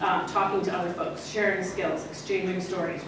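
Amid strong room echo and noticeable background noise, a woman with a fairly low pitch talks at a fairly quick pace. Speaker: archivist and former history professor. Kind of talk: conference talk. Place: hall.

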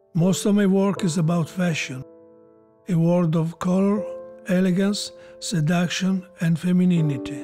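With music in the background, a man speaks fairly slowly in a high pitch, with fairly even intonation and very even loudness. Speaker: fashion photographer. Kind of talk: documentary interview.

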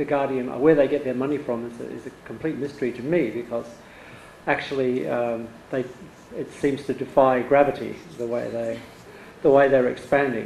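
With audible room echo and light background noise, a man talks at a fairly quick pace in a fairly even intonation. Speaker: audience member. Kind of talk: Q&A question. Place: home room. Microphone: handheld.

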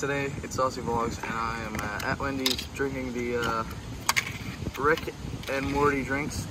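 A man at a moderate pace, dry sound with no echo, against loud background noise. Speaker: vlogger. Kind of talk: casual vlog chat. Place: garden. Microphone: phone near.

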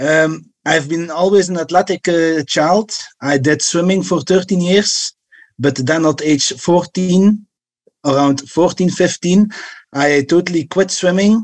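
In a quiet background, a man speaks at a very slow pace. His pitch is high, with ordinary variation. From Belgium. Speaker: caller, fighter; caller. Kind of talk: call-in question. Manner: halting. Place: home room. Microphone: video call.

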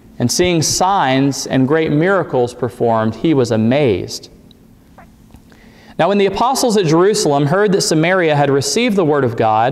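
Moving at a moderate pace, a man speaks with very wide pitch swings. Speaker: preacher. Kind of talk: scripture reading in a sermon. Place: church.

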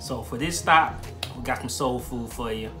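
Clear music sounds behind the voice. The man talks at a fairly slow speed. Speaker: restaurant reviewer. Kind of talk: casual vlog chat. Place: kitchen. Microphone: phone near.

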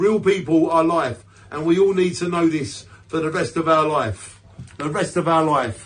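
With a British accent, a man talks at a moderate pace. His fairly high voice shows ordinary pitch variation. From UK. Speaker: poet. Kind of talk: poetry reading, spoken word. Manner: defiant, punchy and emphatic; earnest, declamatory with repeated stresses. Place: home room. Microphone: phone near.

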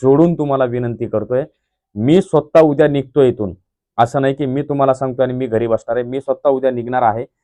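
A man speaks at a medium pitch in a dark, mellow tone with fairly even intonation, and the sound is dry and close with no echo. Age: 30s. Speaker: YouTube vlogger. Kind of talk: video blog appeal to viewers. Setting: village construction site. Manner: impassioned.

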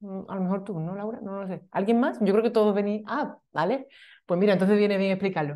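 Against a quiet background, a woman talks at a fairly quick pace with a dark, mellow tone, ordinary pitch variation and big swings in loudness. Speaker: meetup organizer and web designer. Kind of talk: event introduction. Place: meeting room.

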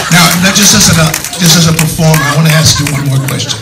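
The room echo is audible. Light background noise runs underneath. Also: man. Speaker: audience member asking questions. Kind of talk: audience question at Q&A. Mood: admiring, earnest. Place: hall. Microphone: pa.

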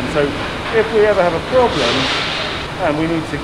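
The voice shows ordinary pitch variation over loud background noise. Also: man. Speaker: factory guide. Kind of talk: tour explanation. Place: factory. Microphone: phone near.

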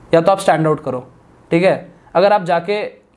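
Delivered at a moderate pace, the speech has fairly even intonation. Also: man. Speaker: legal YouTuber and course creator; legal YouTuber, course creator. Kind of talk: podcast interview. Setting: studio. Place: studio. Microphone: lapel.

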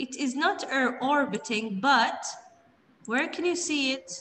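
Light background noise sits behind a woman whose high-pitched voice moves in very wide pitch swings. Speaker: primary school teacher. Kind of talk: online class teaching. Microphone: video call.

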